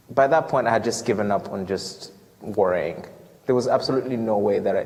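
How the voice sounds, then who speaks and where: Over noticeable background noise, a speaker with an American accent talks at a fairly quick pace with ordinary pitch variation. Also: man, medium pitch for a man. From Ghana. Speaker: student returning from a mission trip. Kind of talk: Q&A after a talk. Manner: halting, many fillers and repetitions.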